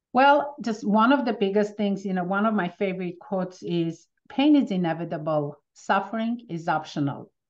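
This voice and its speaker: A woman speaks in an Armenian accent with lively intonation. She leaves hardly any pauses. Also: medium pitch for a woman, moderate pace. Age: 50s. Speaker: pain relief practitioner. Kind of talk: interview.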